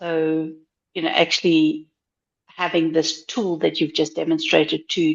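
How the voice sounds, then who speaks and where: In a South African accent, a woman speaks fairly slowly in a very deep, low pitch with monotone, flat intonation. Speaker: blind job seeker, attendee. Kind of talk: audience question in live Q&A.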